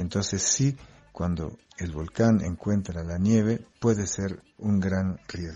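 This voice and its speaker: A man with a French accent, very deep, low pitch, ordinary pitch variation, and a very slow pace over noticeable background noise. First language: French (speaking Spanish). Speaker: geographer. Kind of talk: explanatory interview for children.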